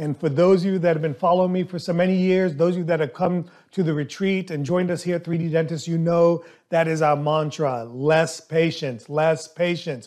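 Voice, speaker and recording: A man's high voice at a fairly quick pace, with fairly even intonation against a quiet background. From US South. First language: not English. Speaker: dentist and podcast host. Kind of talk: casual monologue.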